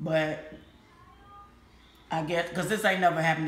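A woman speaks with a fairly low pitch. Room echo can be heard. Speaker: vlogger. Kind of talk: casual vlog chat. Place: home room. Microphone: phone near.

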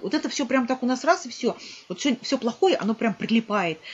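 The speaker moves at a fairly quick pace. The intonation is lively. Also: woman. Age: 50s. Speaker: vlogger. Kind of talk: motivational monologue to camera. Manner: earnest, animated. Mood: earnest, reflective. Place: home room. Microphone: webcam.

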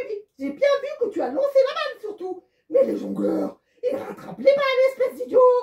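A cartoonish character voice sits at an extremely high pitch. Its pace is moderate. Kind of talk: children's puppet show. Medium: puppet show. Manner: teasing, mildly exasperated.

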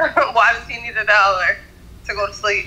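The tone is bright and sharp, with ordinary pitch variation. Delivery comes at a fairly slow pace. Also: woman.

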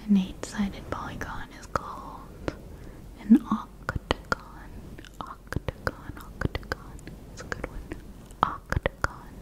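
The whispering goes very slowly, broken by long, frequent pauses. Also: woman. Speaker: ASMR creator teaching. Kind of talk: soft-spoken ASMR tutorial. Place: home room. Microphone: studio mic.

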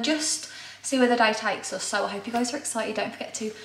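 There is audible room echo around this woman. Her pitch is high and her intonation fairly even. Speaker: fashion vlogger. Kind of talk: casual vlog chat. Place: kitchen. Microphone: camera far.

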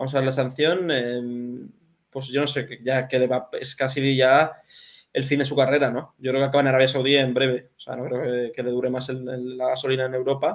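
At a moderate pace, a man with a medium pitch talks in a monotone, flat intonation. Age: 20s. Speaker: football journalist; remote guest. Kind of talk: casual chat. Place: home room.

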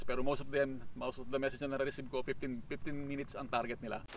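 The sound is dry with no echo, with light background noise behind a man's voice. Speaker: cycling vlogger. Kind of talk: casual vlog chat. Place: open country.

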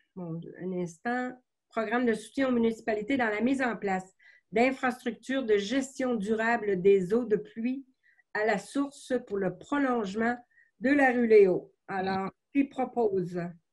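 In a quiet background, a woman talks with a fairly high pitch at a fairly slow pace. Her pitch variation is ordinary. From Quebec. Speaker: mayor chairing council meeting. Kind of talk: municipal council meeting. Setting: closed-door council chamber. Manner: formal. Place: home room. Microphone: video call.

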